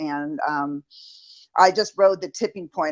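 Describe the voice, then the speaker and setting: A woman with a very deep, low pitch talks at a fairly slow pace and with fairly even intonation against a quiet background. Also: dry, close sound with no echo. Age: 60s. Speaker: pet resort business owner. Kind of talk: testimony.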